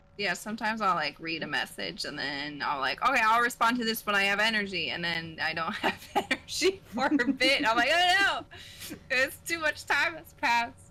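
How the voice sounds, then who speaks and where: With noticeable background noise behind her, a woman with an American accent speaks at a moderate pace in a fairly high voice whose pitch swings very widely. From US Pacific Northwest, northern Oregon. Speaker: streamer. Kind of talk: casual chat.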